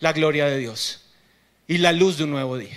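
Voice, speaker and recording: The man's voice has a bright, sharp tone. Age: 30s. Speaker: pastor. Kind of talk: sermon. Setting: theater stage with congregation.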